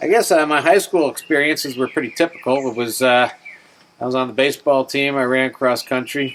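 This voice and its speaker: Over noticeable background noise, a man with an American accent speaks fairly quickly at a medium pitch, his intonation fairly even. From New York State, near New York City. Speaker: navy veteran. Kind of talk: oral history interview.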